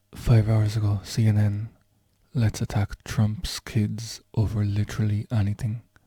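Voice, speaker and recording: A man's fairly low, somewhat breathy voice, dark and mellow in tone, monotone and flat in intonation, at a fairly slow pace with very even loudness and a dry, close sound with no echo. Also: very clean recording, silent background. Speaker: vlogger. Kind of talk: casual talk to camera.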